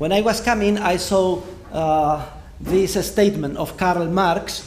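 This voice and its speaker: A man talks at a fairly slow pace with ordinary pitch variation. Audible room echo and noticeable background noise surround his voice. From Spain. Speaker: economics professor. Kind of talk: lecture. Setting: university lecture hall with audience. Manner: hesitant with frequent fillers.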